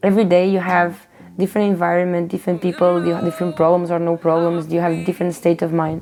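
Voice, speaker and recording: In a Portuguese accent, a woman speaks at a fairly low pitch. Her tone is dark and mellow. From Portugal. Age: 30s. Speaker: street musician. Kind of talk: documentary interview.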